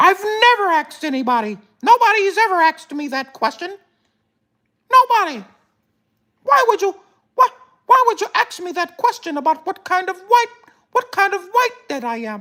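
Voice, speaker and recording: In a put-on character voice that sounds female, the speaker uses an extremely high pitch at a moderate pace, with long, frequent pauses. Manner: complaining, indignant.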